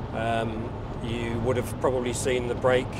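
A man is speaking with loud background noise behind him. The sound is dry, with no echo. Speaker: passenger vlogger. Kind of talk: casual vlog chat. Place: car. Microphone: lapel.

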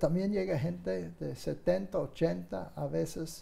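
The speaker is male. He has a dark, mellow tone. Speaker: guest. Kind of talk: interview answer. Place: studio. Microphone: lapel.

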